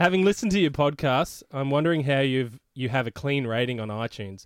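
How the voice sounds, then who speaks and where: A man with an Australian accent, fairly high pitch and lively intonation at a fairly quick pace, in a very clean recording with a silent background. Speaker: podcast co-host. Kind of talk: casual chat.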